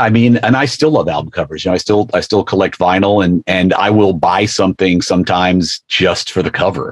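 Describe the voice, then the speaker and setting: A man with an American accent speaks at a moderate pace in a plain, everyday voice, fairly low in pitch with ordinary pitch variation. The sound is dry and close, with no echo. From US. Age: 60s. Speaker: television executive. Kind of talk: casual chat.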